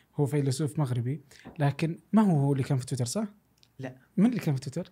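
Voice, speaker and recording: A man with a Saudi accent speaks with fairly high pitch and ordinary pitch variation. His tone is dark and mellow, somewhat breathy. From Saudi Arabia. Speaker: podcast host. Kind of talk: casual chat. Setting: studio. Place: studio. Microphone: studio mic.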